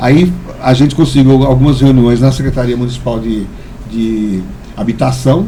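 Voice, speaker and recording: A man speaks with long, frequent pauses. There is audible room echo and noticeable background noise. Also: medium pitch for a man, ordinary pitch variation, moderate pace. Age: 60s. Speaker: community leader and metalworker. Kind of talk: podcast interview. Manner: halting, frequent repetitions.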